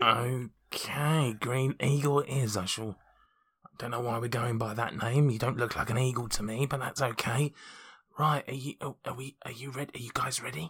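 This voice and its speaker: A man's raspy, put-on character voice at medium pitch and moderate pace, broken by long, frequent pauses. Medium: actual play. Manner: dry, blunt.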